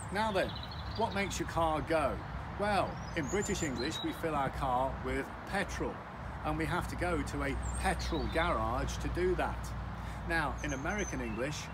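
Loud background noise runs under a man speaking at a moderate pace. He leaves long, frequent pauses. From UK. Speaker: English teacher. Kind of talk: educational talk to camera. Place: street. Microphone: phone near.

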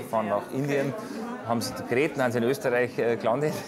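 A man at a very fast pace, amid noticeable background noise. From Bavaria. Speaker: film director. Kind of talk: interview answer. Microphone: lapel.

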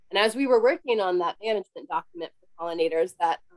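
Speaking at a fairly quick pace, a woman has an ordinary speaking voice at medium pitch with lively intonation. The background is quiet and the sound dry, with no echo. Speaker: conservation biologist; presenter. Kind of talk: webinar presentation; Q&A answer. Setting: home office video call. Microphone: cutting out, too far from microphone; webcam.

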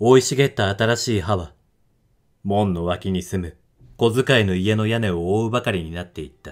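The speech keeps a moderate pace and ordinary pitch variation, with big swings in loudness and long, frequent pauses. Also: man, very clean recording, silent background. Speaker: audiobook narrator / reader of classic literature. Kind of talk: literary reading (rōdoku) of a novel, audiobook style.

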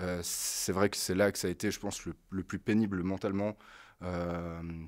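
A man talks at a fairly quick pace with a very deep, low pitch. His intonation is monotone and flat, and the recording is very clean with a silent background. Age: 30s. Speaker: adult apprentice developer. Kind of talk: casual chat.

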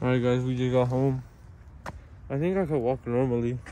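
A man speaks at a fairly quick pace in a dark, mellow tone. The sound is dry with no echo, over light background noise. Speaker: vlogger after dental surgery. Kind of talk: casual vlog chat. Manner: numb, swollen mouth after tooth extraction.

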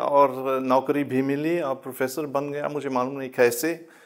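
Against a quiet background, a man speaks with a German accent. His pace is very slow. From Germany. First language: German (speaking Hindi). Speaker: professor; interviewed professor guest. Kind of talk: interview. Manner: halting. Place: studio. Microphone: lapel.

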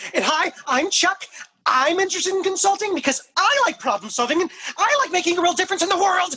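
Extremely high pitch at a very fast pace. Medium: comedy sketch. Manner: competitive, boastful.

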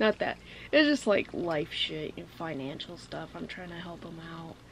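A woman talks fairly slowly with light noise in the background. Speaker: vlogger. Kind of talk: casual vlog chat. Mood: relaxed, a bit reflective. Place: home room.

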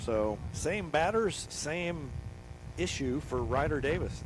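This man's voice carries vocal fry. His pitch swings very widely. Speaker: baseball play-by-play announcer. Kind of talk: live baseball play-by-play commentary. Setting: outdoors at a windy ballpark, broadcasting live.

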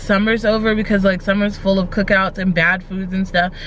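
A woman at a moderate pace, monotone and flat in intonation, dry with no echo, over light background noise. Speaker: vlogger. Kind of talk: casual vlog chat. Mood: reflective, candid. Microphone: phone near.

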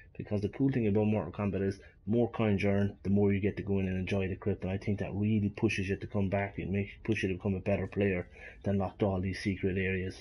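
A very fast, somewhat breathy man's voice, fairly low in pitch, in an Irish accent. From Ireland. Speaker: gaming YouTuber. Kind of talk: game review with gameplay commentary. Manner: animated.

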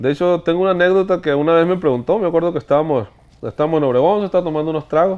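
A man's high pitch at a very fast pace, with ordinary pitch variation. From Sonora, Mexico (Hornos, Yaqui); Sonora, Mexico. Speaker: regional Mexican singer; interview guest. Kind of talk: casual interview. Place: studio.

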